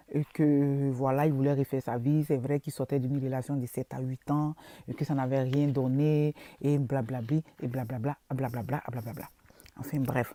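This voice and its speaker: Very clean and silent in the background, the recording has a dry, close sound with no echo. A woman speaks at a moderate pace with a very deep, low pitch, a dark, mellow tone and a monotone, flat intonation. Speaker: social media vlogger. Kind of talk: casual vlog monologue. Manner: halting, many fillers and repetitions.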